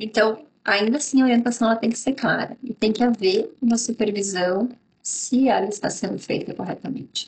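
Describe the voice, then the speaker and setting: This woman's fairly high voice is somewhat breathy, moving at a moderate pace with fairly even intonation. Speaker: business consultant. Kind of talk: instructional talk to camera.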